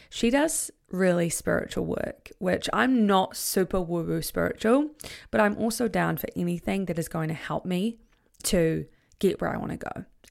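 Speaking at a moderate pace with a New Zealand accent, a woman is heard on a very clean recording with a silent background. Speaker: podcast host, confidence coach. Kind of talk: solo podcast monologue. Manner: animated.

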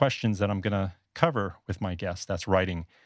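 Recorded very cleanly against a silent background, with a dry, close sound and no echo, a man speaks in a normal speaking voice at a fairly low pitch, with ordinary pitch variation and a moderate pace. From US South Florida. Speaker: blogger and podcaster. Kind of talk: podcast interview.

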